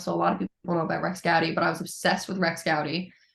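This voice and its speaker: A woman with fairly low pitch, fairly even intonation and an ordinary speaking voice. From Newfoundland, Canada (St. John's). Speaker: musician. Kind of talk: interview. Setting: podcast.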